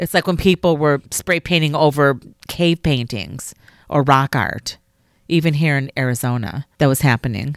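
A woman with an American accent and a very deep, low pitch speaks at a moderate pace with ordinary pitch variation, in a dry, close sound with no echo on a very clean recording with a silent background. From Chicago. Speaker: podcast co-host. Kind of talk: casual chat.

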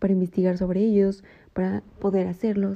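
At a moderate pace, a woman speaks at a medium pitch, somewhat breathy. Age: 20s. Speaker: podcast host. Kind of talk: personal reflection monologue.

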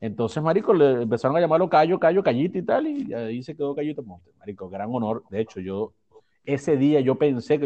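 With a fairly quick delivery, a man's voice carries a dark, mellow tone. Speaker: podcast co-host. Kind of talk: casual chat.

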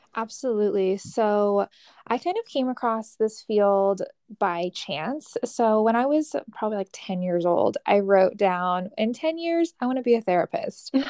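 A woman with a Californian accent talks fairly slowly at a fairly high pitch in a dark, mellow tone, the sound dry and close with no echo against a quiet background. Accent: General American (Californian). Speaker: mental health counselor. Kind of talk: casual interview.

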